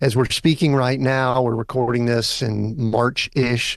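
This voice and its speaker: A man's medium-pitched voice at a moderate pace, fairly even in intonation, a normal speaking voice. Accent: American. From Georgia, US South. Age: 60s. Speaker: executive coach. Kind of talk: interview.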